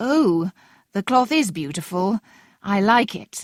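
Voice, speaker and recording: In a put-on character voice, a female-sounding speaker talks at a middle pitch and a fairly slow pace, recorded very cleanly against a silent background. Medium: read story.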